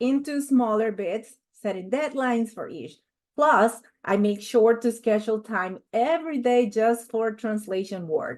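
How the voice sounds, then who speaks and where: A woman with a Spanish accent speaks at a fairly slow pace. Her pitch is fairly high and her intonation lively. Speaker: corporate trainer. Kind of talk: online training presentation.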